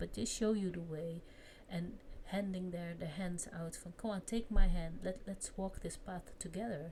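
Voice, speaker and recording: A woman with a non-native accent speaks at a fairly slow pace, her voice somewhat breathy with a dark, mellow tone. Her pitch is fairly low and varies in an ordinary way. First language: not English. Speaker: vlogger. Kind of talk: casual chat. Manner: halting.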